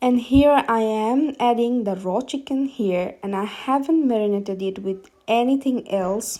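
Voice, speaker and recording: With a Bengali accent, a woman speaks at a fairly slow pace with hardly any pauses, her fairly high voice carrying a dark, mellow tone and ordinary pitch variation. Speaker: home cook. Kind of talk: cooking video voice-over. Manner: hesitant, many fillers.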